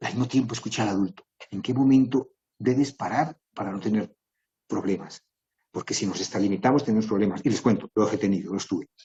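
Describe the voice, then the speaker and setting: A somewhat breathy man with a fairly low voice moves at a fairly quick pace with ordinary pitch variation. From Colombia. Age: 60s. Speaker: writer and composer giving a talk. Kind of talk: talk.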